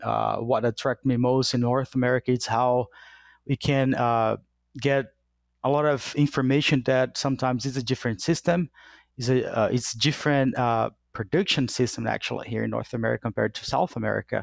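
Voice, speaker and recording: A man with a Portuguese accent speaks at a fairly quick pace and medium pitch, his intonation fairly even. The sound is dry and close with no echo, on a very clean recording with a silent background. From Brazil. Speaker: animal science professor. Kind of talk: interview. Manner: halting.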